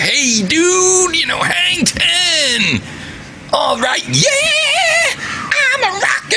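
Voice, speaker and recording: Someone speaks in a put-on character voice at a very slow pace over loud background noise. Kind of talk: slangy, casual. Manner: dopey, mocking.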